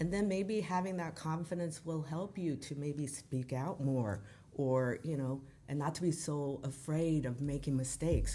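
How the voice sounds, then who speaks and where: Her dark, mellow tone sits at a very deep, low pitch as the woman speaks at a moderate pace with ordinary pitch variation. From Boise, Idaho, US. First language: Korean. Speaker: language school founder and college instructor. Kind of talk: interview. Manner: animated; hesitant, many fillers.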